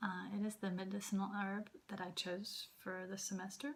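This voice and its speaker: A woman with an American accent speaks at medium pitch. Her voice is somewhat breathy. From Southern US. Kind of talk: class presentation. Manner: slow.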